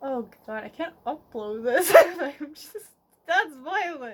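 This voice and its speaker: A woman mumbling at a very slow pace, with very wide pitch swings. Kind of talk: casual rambling video diary. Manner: mumbled.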